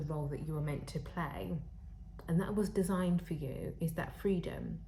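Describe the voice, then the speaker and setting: With vocal fry and a dark, mellow tone, a woman speaks at a very deep, low pitch. Audible room echo surrounds her voice. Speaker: tarot reader; spiritual counselor. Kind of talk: tarot reading to camera. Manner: halting, with fillers.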